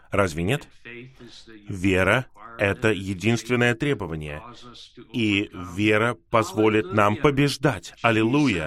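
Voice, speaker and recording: A man at fairly low pitch, very slow pace, long and frequent pauses, and big swings in loudness. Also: ordinary pitch variation. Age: 60s. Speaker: preacher. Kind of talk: sermon. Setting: video call.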